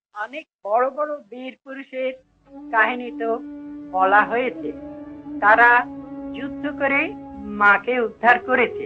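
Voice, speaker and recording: The voice has lively intonation and big swings in loudness. Music plays in the background. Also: man, extremely high pitch for a man. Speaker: poet. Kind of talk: spoken introduction to a poem.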